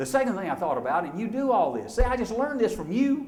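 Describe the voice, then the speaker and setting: A man speaks in an Alabama accent. There is audible room echo. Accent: Southern US (Alabama). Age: 60s. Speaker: motivational speaker. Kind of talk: keynote speech. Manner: animated.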